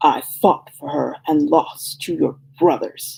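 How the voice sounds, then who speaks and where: This is a put-on character voice, gravelly and growling. It moves at a fairly slow pace. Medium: read story.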